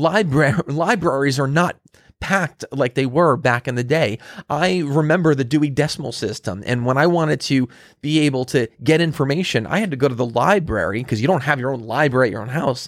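A man's plain, everyday voice at a fairly quick pace with ordinary pitch variation, on a very clean recording with a silent background. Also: fairly high pitch for a man. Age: 40s. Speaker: podcast host on marketing and business. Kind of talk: solo monologue podcast. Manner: casual, with many fillers and restarts.

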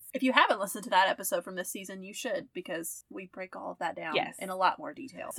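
A woman speaks very fast in a medium-pitched voice with lively intonation. The sound is dry and close, with no echo. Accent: Southern US. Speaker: podcast co-host.

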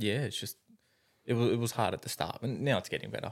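The speaker is a man with an Australian accent. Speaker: carpenter. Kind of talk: casual chat.

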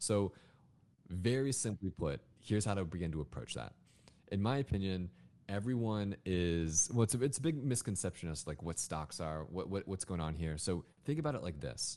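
With a very deep, low pitch and a dark, mellow tone, a man speaks at a moderate pace with lively intonation. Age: 20s. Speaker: finance content creator. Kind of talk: interview, explaining personal finance.

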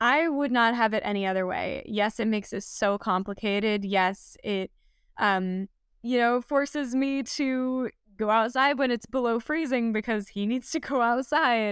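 On a very clean recording with a silent background, a woman with an American accent has a normal speaking voice. Her pitch is fairly high, with ordinary variation, and her pace is moderate. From US, Los Angeles (Southern California). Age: 20s. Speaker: wilderness guide and van lifer. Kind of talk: casual interview chat.

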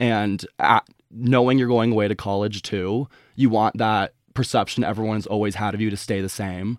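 On a very clean recording with a silent background, a man with a fairly low pitch speaks in a monotone, flat way with an American accent. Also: moderate pace. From US Midwest, Chicago suburbs. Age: 20s. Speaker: guest sharing personal story. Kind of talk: casual interview.

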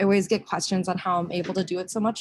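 At a very fast pace, a woman with an American accent talks at medium pitch in a somewhat breathy voice. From US Midwest, Minnesota (Rochester). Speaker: finance worker and traveler. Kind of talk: casual chat. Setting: video call from a cafe.

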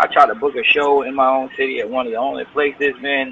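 A man with an American accent at a very fast pace, over noticeable background noise. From Bowling Green, Ohio (near Toledo). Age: 30s. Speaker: rapper. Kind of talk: interview.

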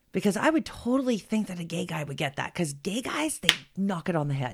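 On a very clean recording with a silent background, a woman talks at a moderate pace with very wide pitch swings. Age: 40s. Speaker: podcast co-host and mother. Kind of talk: casual chat.

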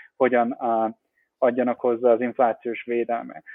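A man talking at a fairly quick pace. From Hungary, Baranya county near Pécs. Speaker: crypto investment director. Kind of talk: interview. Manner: halting, many fillers.

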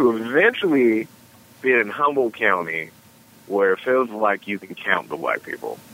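At a moderate pace and medium pitch, a man speaks with lively intonation over noticeable background noise. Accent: American. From US East Coast, Washington DC. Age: 30s. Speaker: stand-up comedian. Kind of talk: casual chat.

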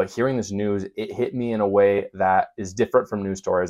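An American accent at a very fast pace, fairly even in intonation, over a quiet background. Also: man. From Utah (Provo). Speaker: political podcast host. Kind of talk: political commentary monologue.

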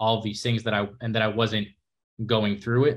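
On a very clean recording with a silent background, a man with an American accent and medium pitch speaks at a fairly quick pace. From New York City. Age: young. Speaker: nutrition bar entrepreneur and content creator. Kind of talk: casual chat.

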